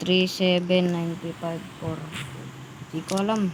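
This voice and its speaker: A woman's medium-pitched voice with monotone, flat intonation over noticeable background noise. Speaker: gaming YouTuber. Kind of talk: gameplay commentary. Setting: at home. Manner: loud.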